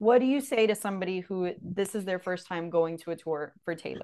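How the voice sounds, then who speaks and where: She speaks with a strong Miami accent. Her voice sits at a medium pitch. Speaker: podcast host. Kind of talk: casual chat.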